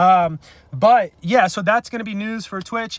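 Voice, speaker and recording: Ordinary pitch variation in a man's speech. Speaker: online commentator. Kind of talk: casual rant to camera. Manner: fast, rushed.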